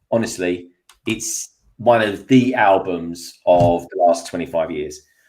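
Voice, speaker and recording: A man in a London accent, fairly low in pitch, at a fairly slow pace with ordinary pitch variation. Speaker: YouTube toy builder. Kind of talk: casual chat. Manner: animated.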